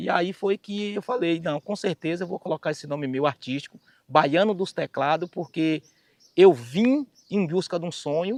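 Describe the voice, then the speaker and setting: A high-pitched man with a Bahian accent, recorded dry and close with no echo. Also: ordinary pitch variation, moderate pace. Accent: Bahian Brazilian Portuguese. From Bahia, Brazil. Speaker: singer and keyboard musician. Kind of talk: life story testimony.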